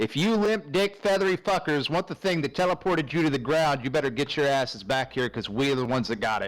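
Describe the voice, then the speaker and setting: In a put-on character voice, a man speaks loud and booming at a very fast pace, his fairly high pitch moving in lively intonation. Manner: angry, shouting.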